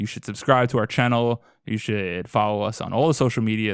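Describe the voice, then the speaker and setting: In a very clean recording with a silent background, a man with an American accent speaks at a fairly quick pace in a normal speaking voice of medium pitch. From Boston. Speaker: podcast host. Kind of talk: casual chat.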